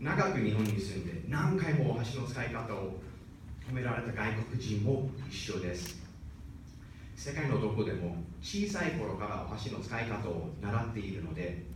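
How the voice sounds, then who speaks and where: Against noticeable background noise, a man with a fairly low pitch speaks at a fairly slow pace with lively intonation. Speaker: speech contest participant. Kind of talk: speech contest address. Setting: stage, live audience.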